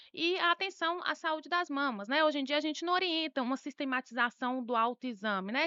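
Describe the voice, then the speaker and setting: A woman with a Bahian accent speaks at a fairly quick pace with lively intonation and a bright, sharp tone, in a dry, close sound with no echo. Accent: Bahian accent, still noticeable. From Bahia, Brazil. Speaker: doctor, breast specialist. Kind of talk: health interview.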